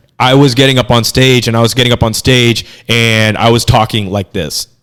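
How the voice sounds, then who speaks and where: Using a put-on character voice, a man speaks at a fairly quick pace in a raspy, medium-pitched tone with fairly even intonation. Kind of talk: formal, stagey public-speaking voice. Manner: stiff, pompous, declaiming.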